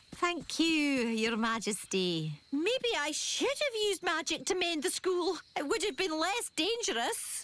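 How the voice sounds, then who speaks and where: A female-sounding cartoonish character voice, extremely high in pitch, moves at a fairly slow pace with hardly any pauses. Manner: polite, hesitant.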